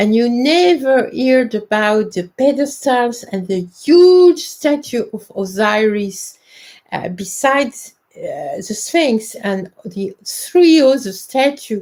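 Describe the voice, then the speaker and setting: A woman in a French accent, high-pitched and very slow. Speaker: independent researcher and presenter on ancient Egypt. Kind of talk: live stream talk. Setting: live stream from home. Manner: halting, many hesitations.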